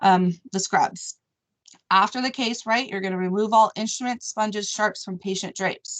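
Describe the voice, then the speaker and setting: Heard as a dry, close sound with no echo, a woman with an unremarkable speaking voice and fairly high pitch talks at a moderate pace with fairly even intonation. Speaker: operating room nurse educator. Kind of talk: staff training meeting.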